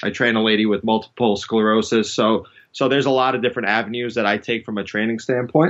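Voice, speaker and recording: Speaking at a very fast pace in a New York accent, a man keeps a medium pitch and fairly even intonation. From New York City. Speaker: strength and conditioning coach. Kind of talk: podcast interview.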